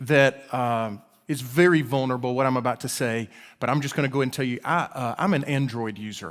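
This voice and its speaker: A man with an Alabama accent, fairly high pitch, and ordinary pitch variation. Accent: Alabama drawl. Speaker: guest preacher and professor. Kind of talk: sermon. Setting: church service. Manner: halting, many repeated words.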